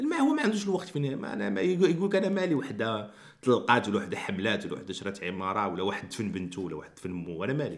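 A man in a Moroccan accent at a very fast pace, hardly any pauses, against a quiet background. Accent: Moroccan Arabic (Darija). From Morocco. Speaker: YouTuber. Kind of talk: commentary vlog. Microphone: studio mic.

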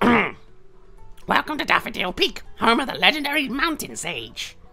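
Faint music plays in the background as a high-pitched, put-on character voice speaks at a moderate pace. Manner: cheerful, welcoming.

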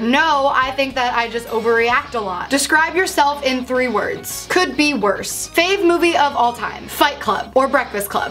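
Faint music plays in the background as the speaker talks at a fairly quick pace. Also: woman. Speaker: vlogger. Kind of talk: casual vlog Q&A with jokes. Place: home room.

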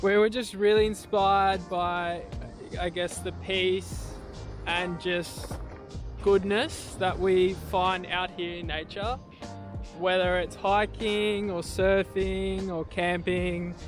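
Clear music plays in the background as a man speaks at a very slow pace, his sound dry with no echo. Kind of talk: casual vlog chat. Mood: calm, warm, reflective. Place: beach. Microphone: phone near.

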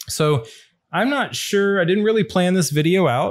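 A man talks at a moderate pace, and the background stays quiet. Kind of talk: casual unboxing tutorial. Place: studio. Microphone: studio mic.

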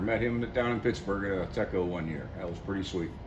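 There is light background noise. A man speaks at a moderate pace. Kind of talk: casual vlog chat. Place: workshop. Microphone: phone near.

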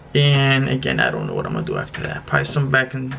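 Light background noise sits under a man's speech. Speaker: fitness vlogger. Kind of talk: casual vlog chat.

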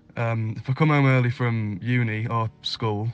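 Monotone, flat intonation runs through speech with a British accent. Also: man. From Northeast England. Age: 20s. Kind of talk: scripted self-introduction read for English learners.

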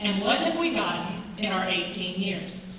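A woman with an American accent is heard in strong room echo with light background noise. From eastern North Carolina. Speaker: political candidate, teacher. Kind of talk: candidate forum debate. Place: hall. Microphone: podium.

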